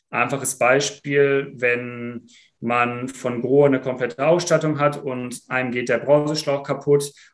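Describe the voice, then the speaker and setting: A man's medium-pitched voice, flat and monotone, at a moderate pace. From Germany, Sauerland (Iserlohn). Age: 20s. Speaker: founder and student. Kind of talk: casual interview.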